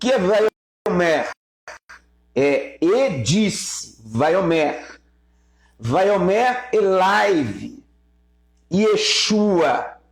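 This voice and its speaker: The pace is very slow, broken by long, frequent pauses. The intonation stays lively throughout. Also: man, high pitch for a man. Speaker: Hebrew teacher. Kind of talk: live-stream Bible teaching. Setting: YouTube live stream.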